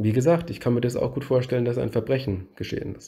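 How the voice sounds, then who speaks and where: A dark, mellow, somewhat breathy voice with fairly even intonation on a very clean recording with a silent background. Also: man. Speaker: true crime YouTuber. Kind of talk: narrated case presentation.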